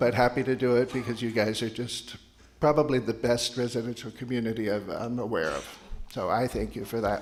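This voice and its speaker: A man of medium pitch at a fairly quick pace, with fairly even intonation. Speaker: resident board member. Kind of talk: town hall remarks. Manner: soft-spoken.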